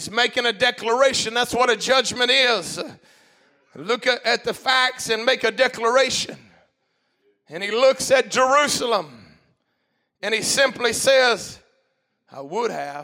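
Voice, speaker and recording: A man with an extremely high pitch projects a raised voice in a bright, sharp tone, speaking fairly slowly with long, frequent pauses, big swings in loudness and ordinary pitch variation. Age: 50s. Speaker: pastor. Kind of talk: sermon.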